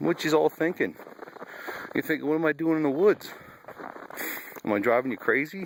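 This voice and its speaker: Over noticeable background noise, a man talks at a fairly quick pace with a fairly high pitch and lively intonation. He leaves long, frequent pauses. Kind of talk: casual talk to animals while filming. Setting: outdoors.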